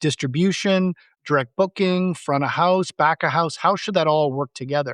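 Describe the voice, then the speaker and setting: In an ordinary speaking voice, a man talks at a fairly high pitch and moderate pace with ordinary pitch variation, dry and close with no echo against a quiet background. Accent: Canadian. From Canada. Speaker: tech company CEO. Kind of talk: podcast interview.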